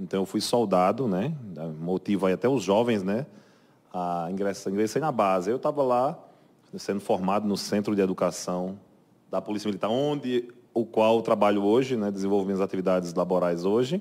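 At a moderate pace, the speaker's pitch varies in an ordinary way. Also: man, fairly low pitch for a man. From Brazil, Paraíba (João Pessoa). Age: 40s. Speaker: military police captain. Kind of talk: interview. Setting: studio. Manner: halting, many repetitions and fillers.

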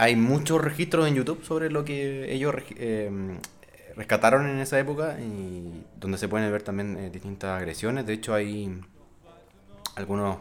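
Using lively intonation, a man with a Chilean accent speaks at a fairly low pitch. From Chile, Rancagua. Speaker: podcast co-host. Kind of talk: casual chat.

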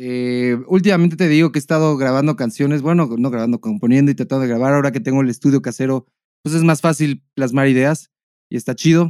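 Recorded very cleanly with a silent background, a man speaks at a very fast pace in a fairly high pitch with ordinary pitch variation. His tone is dark and mellow, and the sound is dry and close with no echo. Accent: Mexican. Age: 30s. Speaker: podcast co-host. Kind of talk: casual chat.

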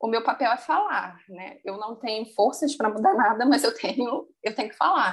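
Against a quiet background, a woman speaks in a high voice with lively intonation. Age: 30s. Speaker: finance professional. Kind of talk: casual interview. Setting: remote call.

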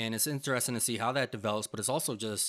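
A man's ordinary speaking voice at a medium pitch, with ordinary pitch variation. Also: dry, close sound with no echo. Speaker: film podcast co-host. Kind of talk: casual chat. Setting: remote recording.

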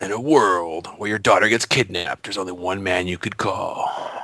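In a put-on character voice, a man speaks with a raspy, fairly low pitch at a moderate pace. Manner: dramatic.

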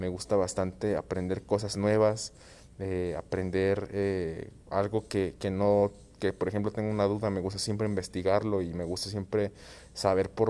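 A man's fairly low-pitched, dark, mellow voice in a Jalisco accent, monotone and flat at a moderate pace, in a very clean recording with a silent background. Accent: Mexican Spanish (western, Jalisco). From Guadalajara, Mexico. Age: 20s. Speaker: podcast host. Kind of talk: solo monologue podcast intro. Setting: at home. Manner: halting, many repetitions and fillers.

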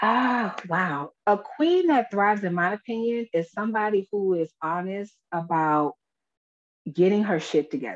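An ordinary speaking voice moves at a moderate pace with lively intonation. The sound is dry and close, with no echo. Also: woman, medium pitch for a woman. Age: 40s. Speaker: empowerment and life coach. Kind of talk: casual chat.

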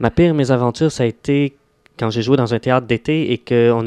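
A man with a plain, everyday voice talks at a medium pitch and moderate pace, his intonation fairly even, in a dry, close sound with no echo. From Quebec, Laurentians (Mont-Tremblant area). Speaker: actor. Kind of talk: radio interview.

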